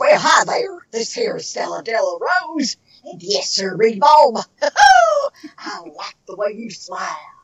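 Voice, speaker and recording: In a put-on character voice with a fairly high pitch, the speaker goes at a fairly slow pace with hardly any pauses. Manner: flirtatious.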